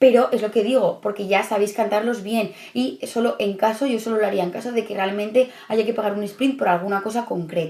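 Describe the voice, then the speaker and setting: With a dark, mellow tone, a woman talks at a fairly high pitch and a fairly quick pace, showing ordinary pitch variation and hardly any pauses. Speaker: study coach for civil service exam candidates. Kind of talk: tutorial. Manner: fast.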